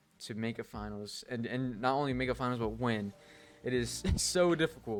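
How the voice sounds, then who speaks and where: Music plays in the background as a man talks. His tone is animated, and his pace is moderate. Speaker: esports pro player and streamer. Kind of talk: casual vlog monologue. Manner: stuttering, many fillers; casual, animated.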